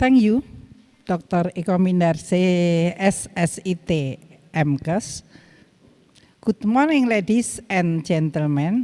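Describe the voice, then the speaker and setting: A woman's fairly low voice with a dark, mellow tone, lively intonation, a very slow pace and long, frequent pauses. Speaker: midwifery lecturer. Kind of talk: webinar lecture.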